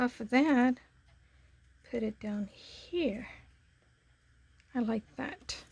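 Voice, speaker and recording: Soft-spoken and high-pitched, a woman speaks at a very slow pace with ordinary pitch variation. Long, frequent pauses break up her speech. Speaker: papercraft YouTuber. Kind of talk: crafting tutorial. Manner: casual, hesitant with fillers.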